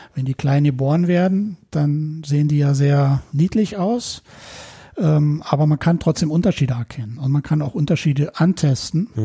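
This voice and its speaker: This man has a fairly high pitch with ordinary variation and a dark, mellow tone. His delivery is somewhat breathy at a moderate pace. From West Berlin (Neukölln). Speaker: electronics technician and rescue dog handler. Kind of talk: casual interview.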